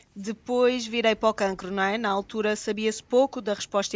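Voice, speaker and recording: A woman speaks with a European Portuguese accent at a fairly quick pace. Her pitch is fairly high and her intonation fairly even. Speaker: vaccine researcher and pharmacy professor. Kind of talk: radio panel discussion.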